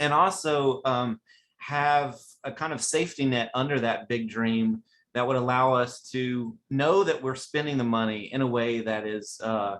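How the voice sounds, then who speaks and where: A man's medium-pitched voice with ordinary pitch variation, at a fairly slow pace. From West Virginia. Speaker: webinar host. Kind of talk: webinar presentation. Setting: online webinar. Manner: animated.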